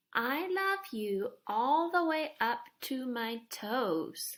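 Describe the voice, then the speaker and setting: A woman uses a put-on character voice at a high pitch. Her pace is very slow. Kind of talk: bedtime story. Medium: read story.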